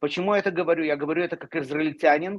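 Against a quiet background, a man speaks at a high pitch. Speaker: talk show panelist; talk show guest. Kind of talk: live political discussion. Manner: emotional. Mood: emotional, indignant. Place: home room. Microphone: video call.

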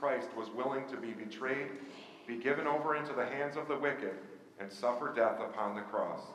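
Audible room echo and light background noise surround a man whose pitch varies in an ordinary way. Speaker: minister. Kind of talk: liturgical prayer and scripture reading. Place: church.

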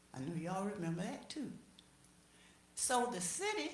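Speaking at a fairly slow pace with a medium pitch and very wide pitch swings, a woman with an American accent is heard with audible room echo. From US South, Chipley, Florida. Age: 80s+. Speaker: resident speaking at public meeting. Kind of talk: public comment at city meeting.

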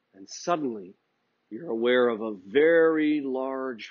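A man speaks against a quiet background. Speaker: art instructor. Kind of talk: tutorial. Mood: warm, playful storytelling. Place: studio.

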